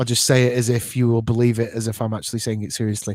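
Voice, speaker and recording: A man speaks at a medium pitch with a British accent. The recording is very clean, dry and close, with no echo and a silent background. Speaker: podcast host. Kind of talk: live show chat.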